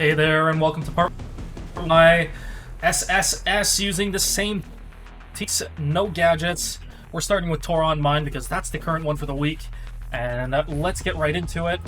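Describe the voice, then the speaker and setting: With music playing in the background, a man talks at a moderate pace, leaving long, frequent pauses. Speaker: gaming content creator. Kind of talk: game guide commentary. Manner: unenthusiastic.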